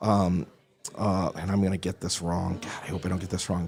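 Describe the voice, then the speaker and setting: A man speaks with a very deep, low pitch. His pace is fairly quick. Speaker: real estate broker, charity supporter. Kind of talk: live-stream interview. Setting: live on location at a distillery. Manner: loud; halting, many repeated words.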